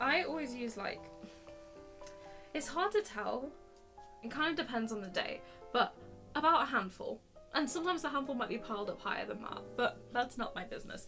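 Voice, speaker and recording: A woman with a high pitch speaks in an upbeat tone with lively intonation at a fairly quick pace. Her speech has long, frequent pauses, and music plays in the background. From England. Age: 20s. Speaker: musical theatre actor. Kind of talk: casual talk to camera. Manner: upbeat, chatty.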